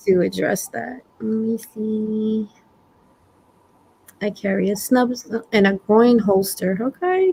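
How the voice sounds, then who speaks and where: Speaking at a very slow pace with long, frequent pauses, a woman uses a fairly high, somewhat breathy voice with a dark, mellow tone and ordinary pitch variation. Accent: strong Brooklyn. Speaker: prepping channel host. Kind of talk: casual livestream talk.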